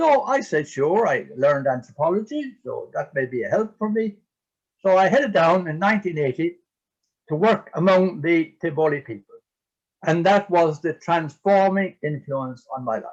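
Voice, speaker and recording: A man with an Irish accent speaks at a high pitch. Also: lively intonation, moderate pace. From Ireland. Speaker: priest and eco-theologian. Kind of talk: interview talk. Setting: video call. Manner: halting.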